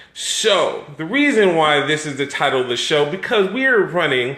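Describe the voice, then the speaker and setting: A man with a high voice sounds animated, his pitch swinging very widely, with audible room echo and noticeable background noise. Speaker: live stream host. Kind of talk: casual chat.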